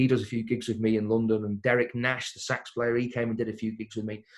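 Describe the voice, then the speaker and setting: Over a quiet background, a man of medium pitch speaks in an English accent with monotone, flat intonation. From Crewe, England. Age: 20s. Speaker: singer-pianist. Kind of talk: interview answer. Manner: casual, chatty.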